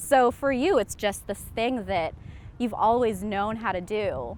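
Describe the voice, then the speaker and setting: The woman has a normal speaking voice at a medium pitch. Her intonation is lively and her pace moderate. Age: 20s. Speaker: documentary subject. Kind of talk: interview.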